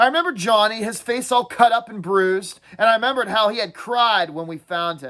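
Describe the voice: The clip is plain reading aloud.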